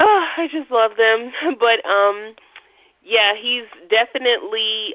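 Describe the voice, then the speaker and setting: A woman speaks at a very slow pace. Her fairly high voice carries lively intonation. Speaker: astrology radio co-host. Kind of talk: casual chat.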